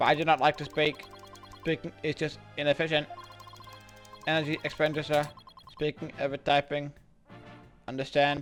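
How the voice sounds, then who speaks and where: A man in a put-on robotic character voice speaks at a moderate pace with fairly high pitch, monotone flat intonation, and long, frequent pauses over faint background music. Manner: flat, efficient, unemotional.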